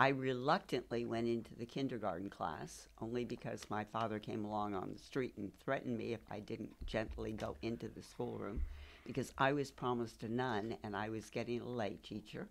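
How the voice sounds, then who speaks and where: A woman with a very deep, low voice speaks with vocal fry at a moderate pace. She barely pauses, and her pitch varies in an ordinary way. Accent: American. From San Francisco Peninsula, California. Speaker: military spouse. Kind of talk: interview.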